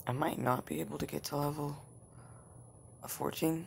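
A man's medium-pitched voice with vocal fry, at a moderate pace. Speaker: gaming video creator. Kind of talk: let's play commentary. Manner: low-energy, flat.

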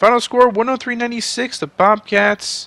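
A man speaks in a raised, projected voice. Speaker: gaming YouTuber. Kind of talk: sports commentary. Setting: video game commentary. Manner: casual, rambling, self-correcting.

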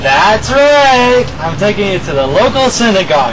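Crowd noise fills the background as a man speaks at a moderate pace with an extremely high pitch. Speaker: comedy sketch actor. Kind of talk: comedic sketch monologue. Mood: giddy, lovestruck, playful. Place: street. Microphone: camera far.

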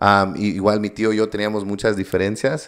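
The background stays quiet. Over it, a man talks at a moderate pace. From US, Coachella Valley, California, Mexican-American; California. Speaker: entrepreneur; podcast guest. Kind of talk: interview. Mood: reflective, sincere. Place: studio. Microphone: studio mic.

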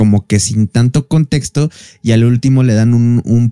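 A man, heard against a quiet background, uses ordinary pitch variation while talking fairly slowly. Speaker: podcast host. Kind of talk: casual podcast storytelling. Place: home room. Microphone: studio mic.

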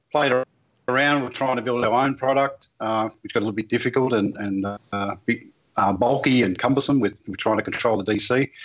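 The background is quiet. A man speaks with an Australian accent and fairly even intonation. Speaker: plumbing business owner. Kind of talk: technical product discussion. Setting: video call from office. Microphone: video call.

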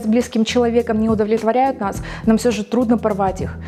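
With faint music in the background, a woman talks at a very fast pace in a fairly high pitch. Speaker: TV presenter, radio and TV announcer graduate. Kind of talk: book recommendation TV show, address to camera. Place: studio.

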